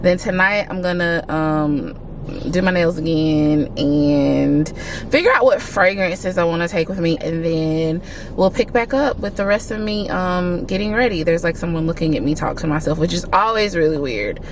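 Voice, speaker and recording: A woman with an American accent speaks at a fairly low pitch with ordinary pitch variation over noticeable background noise. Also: moderate pace. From US Deep South. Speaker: vlogger. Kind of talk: casual vlog talk to camera. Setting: in a mall, public place.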